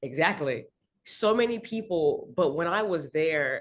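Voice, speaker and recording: A woman with an American accent speaks at a fairly slow pace in a plain, everyday voice, her fairly low pitch carried by lively intonation. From Miami, Florida. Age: 30s. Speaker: singer. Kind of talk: casual interview chat.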